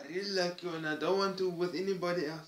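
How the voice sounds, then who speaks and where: A man with a Cape Town accent speaks at a high pitch. His pace is moderate. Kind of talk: personal vlog monologue.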